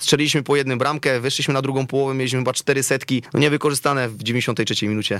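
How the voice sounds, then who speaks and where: Barely pausing, a man talks at a very fast pace. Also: medium pitch for a man, fairly even intonation. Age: 30s. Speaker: football coach. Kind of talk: interview. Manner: halting, many repetitions.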